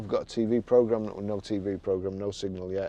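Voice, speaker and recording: A man with an English accent, dark and mellow in tone, at a fairly slow pace. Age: 60s. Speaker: used car dealer. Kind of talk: tutorial. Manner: halting.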